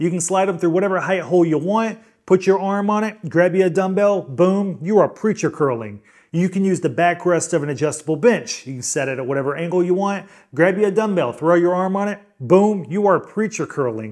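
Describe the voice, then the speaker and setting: At a fairly quick pace, a man talks in a high pitch with ordinary pitch variation on a very clean recording with a silent background. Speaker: fitness equipment reviewer. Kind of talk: product review. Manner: fast.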